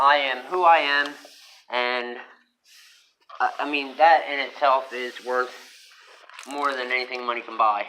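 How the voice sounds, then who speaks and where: A man speaks at a medium pitch with fairly even intonation and a fairly slow pace. His loudness swings widely, and he pauses long and often. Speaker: vlogger. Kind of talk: personal monologue. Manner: halting, many fillers.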